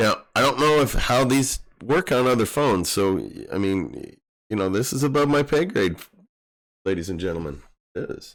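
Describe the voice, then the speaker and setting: On a very clean recording with a silent background, a man at a medium pitch speaks at a moderate pace with vocal fry, lively intonation and long, frequent pauses. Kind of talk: live stream tech tutorial. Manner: casual, conversational.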